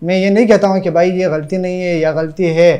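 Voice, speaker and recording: Against a quiet background, a man speaks at a moderate pace in a high voice. His tone is dark and mellow. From Pakistan, Balochistan (Qila Saifullah district); Balochistan, Pakistan. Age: 20s. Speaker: madrasa student; interviewee. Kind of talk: interview. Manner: halting. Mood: aggrieved, recounting abuse. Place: home room.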